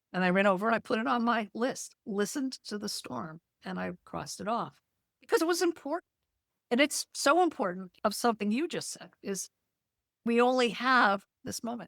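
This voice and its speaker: A woman speaks at a moderate pace with a fairly high pitch, very wide pitch swings and vocal fry. Her loudness swings a lot, and the sound is dry and close with no echo. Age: 70s. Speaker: poet and laughter yoga teacher. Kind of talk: interview.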